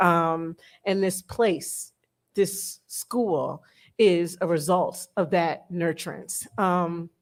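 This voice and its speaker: A woman's fairly low-pitched voice in a Detroit accent, very slow and fairly even in intonation, on a very clean recording with a silent background. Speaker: educator. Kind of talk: panel talk. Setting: room with live audience.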